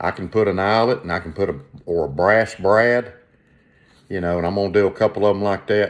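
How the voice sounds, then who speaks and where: With a Southern US accent, a man talks at a fairly quick pace. His pitch is fairly low. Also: ordinary pitch variation. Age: 60s. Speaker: leathercraft and collecting vlogger. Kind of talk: casual show-and-tell vlog. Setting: at home, windows open. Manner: halting, many repetitions and fillers.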